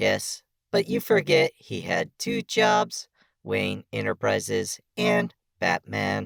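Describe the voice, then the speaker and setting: A put-on robotic character voice at a very slow pace. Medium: audio drama. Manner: precise, measured, dry wit.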